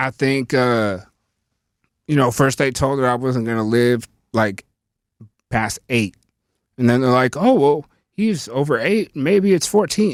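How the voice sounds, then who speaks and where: A man with an American accent speaks at a very slow pace, leaving long, frequent pauses. His medium-pitched voice has lively intonation and a dry, close sound with no echo. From Northern California, Lake County. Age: 30s. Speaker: rapper. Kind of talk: casual podcast interview.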